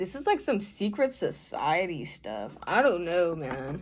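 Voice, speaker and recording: A put-on character voice that sounds female drawls at a fairly slow pace, at a middle pitch with very wide pitch swings. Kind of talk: casual slang. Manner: scared, laid-back surfer drawl.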